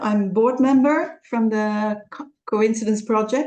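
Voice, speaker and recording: In a Dutch accent, a woman speaks very slowly in a fairly high voice. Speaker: creative consultant and presenter. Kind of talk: online presentation. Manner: halting.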